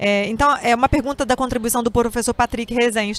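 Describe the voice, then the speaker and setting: A woman speaks in a high pitch at a fairly quick pace. Her intonation stays fairly even. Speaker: professor and interviewer. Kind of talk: interview.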